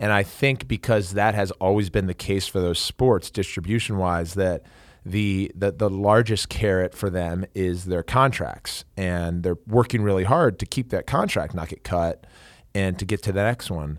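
A man with a normal speaking voice talks at a moderate pace, fairly low in pitch, with ordinary pitch variation. The recording is very clean with a silent background and a dry, close sound with no echo. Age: 30s. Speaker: professional lacrosse player and podcast host. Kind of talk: casual sports interview. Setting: studio.

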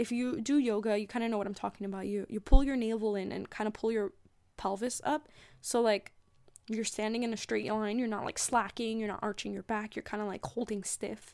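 A woman speaks in a normal speaking voice at a fairly high pitch. Her pace is fairly quick and her intonation fairly even. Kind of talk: pep talk. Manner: warm, earnest and encouraging, with a gentle, reassuring spiritual-coach tone.

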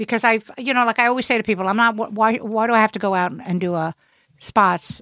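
In a Brooklyn accent, the speaker goes at a very fast pace with a bright, sharp tone. Pitch varies in an ordinary way, and the recording is very clean with a silent background. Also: woman, fairly high pitch for a woman. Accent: New York (Brooklyn). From Brooklyn, New York. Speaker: comedian. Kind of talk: casual chat.

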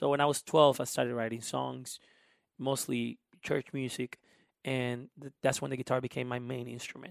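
In a Spanish accent, a man speaks at a moderate pace and medium pitch with monotone, flat intonation and long, frequent pauses, in a dry, close sound with no echo. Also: very clean recording, silent background. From Honduras. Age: 20s. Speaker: musician and immigration advocate. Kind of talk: casual interview conversation.

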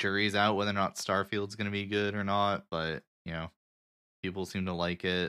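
A bright, sharp voice speaks in a flat monotone. The recording is very clean and dry, close up with no echo and a silent background. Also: man, fairly low pitch for a man, moderate pace. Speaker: podcast host and editor. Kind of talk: casual chat.

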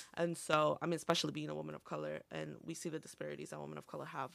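Someone with a Spanish accent talks at a very fast pace with hardly any pauses. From northern Illinois, Montgomery/Aurora area. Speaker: community college student and health clinic worker. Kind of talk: casual interview.

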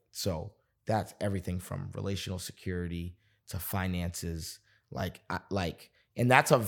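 In a very clean recording with a silent background, a man with an American accent talks at a fairly slow pace. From Boston, US. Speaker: pastor. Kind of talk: podcast interview. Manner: animated.

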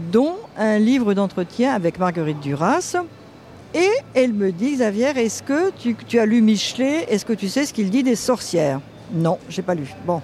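Speech comes at a fairly slow pace, with noticeable background noise behind it. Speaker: writer, founder of a feminist magazine. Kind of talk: interview, recollection.

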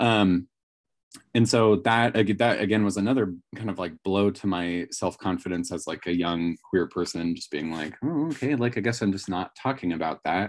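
Over a quiet background, a man with an ordinary speaking voice talks at a moderate pace and a fairly low pitch with ordinary pitch variation. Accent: American. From Northern California. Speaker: high school language teacher. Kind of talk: casual chat.

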